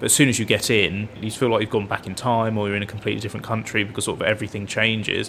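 Very fast, flat, monotone speech with hardly any pauses over noticeable background noise. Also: man, fairly low pitch for a man. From England. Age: 20s. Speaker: music student and conductor. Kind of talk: interview.

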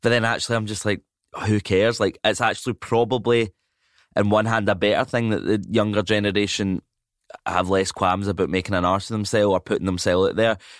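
With a Scottish accent, a man speaks very fast at a fairly low pitch, with fairly even intonation and very even loudness. The sound is dry and close with no echo, on a very clean recording with a silent background. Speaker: comedian and actor. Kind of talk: casual chat.

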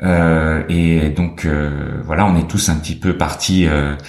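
Amid noticeable background noise and audible room echo, a man speaks in a very deep, low voice. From France (French Alps), teen years in New York. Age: 40s. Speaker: photography curator and gallerist. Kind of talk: interview. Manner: hesitant, many fillers and repetitions.

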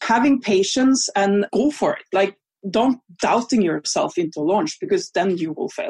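A woman with a Norwegian accent speaks at a moderate pace in a fairly high voice that swings very widely in pitch, recorded dry and close with no echo. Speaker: online business coach. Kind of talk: interview.

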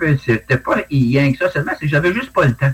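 Lively intonation runs through the speech while music plays in the background. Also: man. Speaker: retired forest ranger and dog handler, UFO witness. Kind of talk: interview testimony. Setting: video call.

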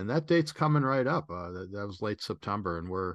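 Against a quiet background, a man speaks with an American accent. His tone is bright and sharp. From US Midwest (Chicago). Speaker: travel photographer and photography instructor. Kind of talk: interview.

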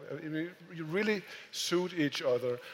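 A man speaks at a fairly high pitch amid noticeable background noise. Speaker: moderator and editor. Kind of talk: moderated live conversation. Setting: stage with audience.

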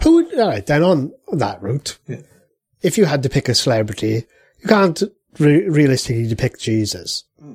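A somewhat breathy man speaks at a fairly high pitch, with very wide pitch swings and big swings in loudness. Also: moderate pace. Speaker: podcast host.

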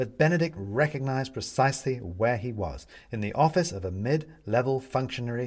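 The clip features an unforced reading voice.

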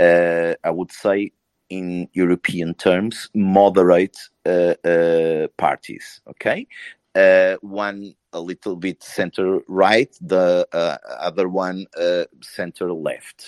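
A man with a Portuguese accent talks very slowly in a very deep, low voice with monotone, flat intonation. The sound is dry and close with no echo, over a quiet background. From Portugal. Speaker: panelist on political discussion. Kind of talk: live audio room discussion. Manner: halting.

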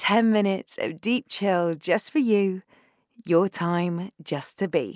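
Very slowly and in a gentle, soothing tone, a woman speaks at a medium pitch with ordinary pitch variation in a dry, close sound with no echo. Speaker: meditation guide. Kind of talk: guided breathwork meditation. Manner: slow, gentle, soothing; soft-spoken, calm, unhurried with long pauses.

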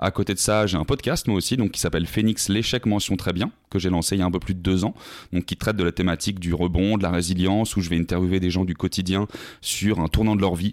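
The speech runs at a very fast pace. The sound is dry and close with no echo, on a very clean recording with a silent background. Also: man. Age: 20s. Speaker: sales account manager, podcaster and former athlete. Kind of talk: casual interview conversation. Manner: energetic.

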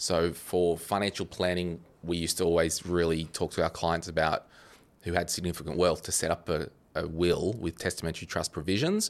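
With an Australian accent, a man speaks in a monotone, flat delivery at a very deep, low pitch, recorded very cleanly with a silent background. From Australia, New South Wales Central Coast. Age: 30s. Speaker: finance podcaster. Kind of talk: casual chat.

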